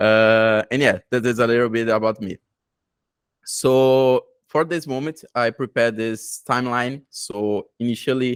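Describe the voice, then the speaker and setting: On a very clean recording with a silent background and a dry, close sound with no echo, a man with a Brazilian Portuguese accent talks fairly slowly at a medium pitch with fairly even intonation. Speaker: tech conference presenter. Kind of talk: technical presentation. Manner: halting, many fillers.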